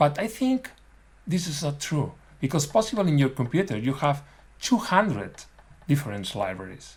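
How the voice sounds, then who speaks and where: With a non-native accent, a man speaks at a moderate pace and a fairly high pitch, using vocal fry and very wide pitch swings, with long, frequent pauses. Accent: non-native English, self-described as bad. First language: not English. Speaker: dental technician. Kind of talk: webinar lecture. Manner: halting.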